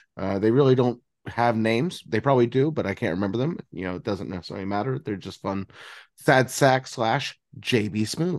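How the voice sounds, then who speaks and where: Against a quiet background, a man talks fairly quickly at a medium pitch with lively intonation. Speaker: podcast co-host. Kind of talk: casual chat. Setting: video call. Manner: halting.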